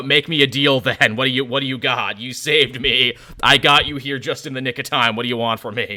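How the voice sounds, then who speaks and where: Growling in a put-on character voice, the speaker goes at a fairly quick pace. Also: man, medium pitch for a man. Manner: growling, demanding.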